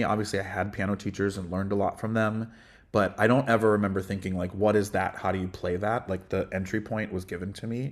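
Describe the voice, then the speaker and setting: In a very clean recording with a silent background, a man with a fairly low pitch speaks at a fairly quick pace. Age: 40s. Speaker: music director and voice teacher. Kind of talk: interview conversation.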